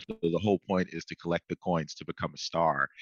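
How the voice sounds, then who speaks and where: A man with an American accent talks very fast in a very deep, low voice, with ordinary pitch variation and a dry, close sound with no echo. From US South. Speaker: college radio host. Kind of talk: casual chat. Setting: radio studio.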